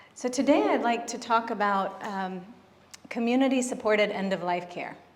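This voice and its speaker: Big swings in loudness mark this woman's fairly high-pitched voice, which has ordinary pitch variation and a moderate pace, with audible room echo and noticeable background noise. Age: 40s. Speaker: physician and end-of-life doula. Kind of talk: conference talk. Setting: stage with audience. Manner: soft-spoken.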